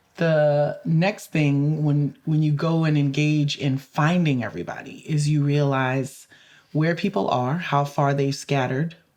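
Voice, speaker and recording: At a fairly slow pace and very even loudness, a woman with an American accent speaks in a very deep, low pitch. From Louisiana, US South. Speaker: community advocate and lawyer. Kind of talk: interview conversation. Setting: podcast interview.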